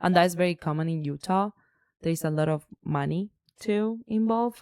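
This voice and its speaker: A woman speaks with a plain, everyday voice and an American accent, her pitch fairly low. The sound is dry and close with no echo, at a moderate pace with ordinary pitch variation. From outside the US. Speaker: podcast co-host. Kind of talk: casual chat.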